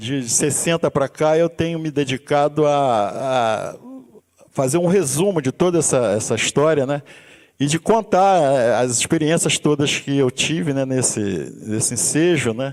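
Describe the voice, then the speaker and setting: The delivery moves at a fairly slow pace. Pitch variation is ordinary. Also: man, fairly high pitch for a man. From Brazil, Rio de Janeiro suburbs. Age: 60s. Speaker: musician and university instructor. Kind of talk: seminar talk. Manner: halting, frequent restarts.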